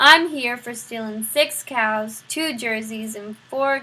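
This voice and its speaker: Using a put-on character voice, a woman speaks gruffly at a fairly slow pace and a high pitch. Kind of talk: rough vernacular speech. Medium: read story. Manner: gruff, uneducated.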